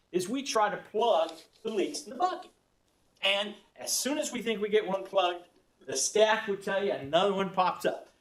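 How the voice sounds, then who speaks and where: Speaking at a fairly quick pace, a man with a high voice and a Texas accent uses lively intonation. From Texas, Austin. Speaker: economic development executive. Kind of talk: presentation. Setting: county board meeting. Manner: fast.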